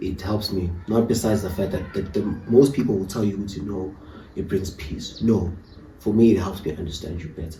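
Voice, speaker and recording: A man speaks at a fairly quick pace in a dark, mellow tone that is somewhat breathy. There is audible echo in the room. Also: fairly low pitch for a man, ordinary pitch variation. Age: young. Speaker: podcast guest. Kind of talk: casual chat. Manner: calm.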